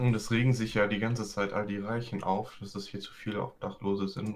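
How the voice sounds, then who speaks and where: A man talks at a fairly quick pace. His pitch is fairly low and his intonation monotone and flat. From US, San Francisco Bay Area. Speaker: guest. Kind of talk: casual chat.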